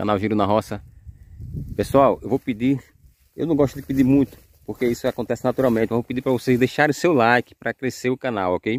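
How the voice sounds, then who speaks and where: A man talks at a very fast pace, broken by long, frequent pauses, in a dry recording with no echo. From Sergipe, Brazil. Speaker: YouTuber showing property for sale. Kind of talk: property tour vlog. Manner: animated. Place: open country. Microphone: phone near.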